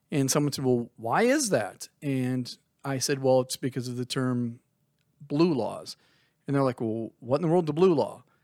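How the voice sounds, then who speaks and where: In a plain, everyday voice, a man of medium pitch speaks at a moderate pace with ordinary pitch variation, the sound dry and close with no echo. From Minnesota. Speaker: podcast co-host. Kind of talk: casual chat.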